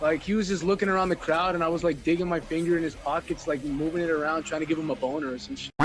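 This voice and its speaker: Hardly pausing, a man talks at a very fast pace. His voice is fairly high, with ordinary pitch variation. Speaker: metal musician and artist. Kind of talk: casual podcast chat. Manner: loud, excitable.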